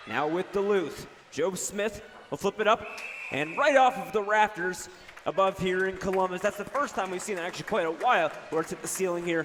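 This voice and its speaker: At a fairly quick pace, a man talks in a high pitch with ordinary pitch variation, and noticeable background noise can be heard. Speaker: student radio sports broadcaster. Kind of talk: live hockey play-by-play commentary. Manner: fast.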